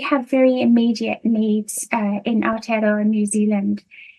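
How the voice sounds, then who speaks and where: A woman at a very slow pace, with a British accent. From United Kingdom. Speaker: nursing lecturer. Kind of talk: conference presentation. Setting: video call. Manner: hesitant, many fillers.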